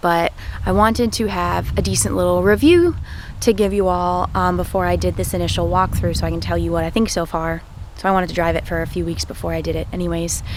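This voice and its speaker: Noticeable background noise sits behind a woman who talks at a very fast pace. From Maine, USA. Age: 20s. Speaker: truck driver. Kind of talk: casual talk to camera.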